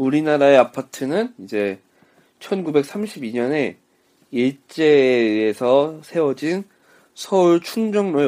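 In a very clean recording with a silent background, a man speaks at a very slow pace in a dark, mellow tone with lively intonation. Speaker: podcast co-host. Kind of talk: casual chat. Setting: home recording.

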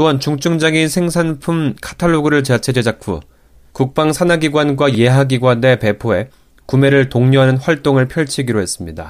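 A man's plain, everyday voice, medium in pitch with ordinary pitch variation, at a moderate pace. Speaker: news anchor. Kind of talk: news reading. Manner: formal.

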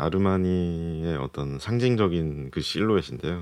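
A man speaks at a very slow pace. His voice is very deep and low, with ordinary pitch variation. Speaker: fashion editor. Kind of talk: casual studio chat. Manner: terse, says little.

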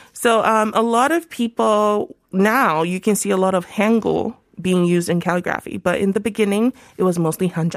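In a normal speaking voice, a woman speaks at medium pitch and a moderate pace, with ordinary pitch variation and very even loudness. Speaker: travel writer and YouTuber. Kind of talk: casual chat. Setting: studio.

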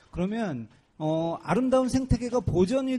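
A high-pitched man with a dark, mellow tone and very wide pitch swings. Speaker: activist radio host. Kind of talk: casual chat. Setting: outdoors at construction site gate.

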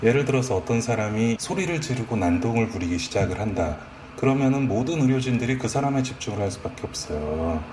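Lively intonation from a man at medium pitch and a fairly quick pace, with noticeable background noise. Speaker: emergency medical professional. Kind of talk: interview.

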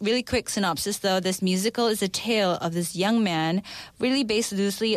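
In a very clean recording with a silent background, a woman with a plain, everyday voice and medium pitch speaks at a fairly quick pace with ordinary pitch variation. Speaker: expat life consultant. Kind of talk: radio segment chat. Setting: studio.

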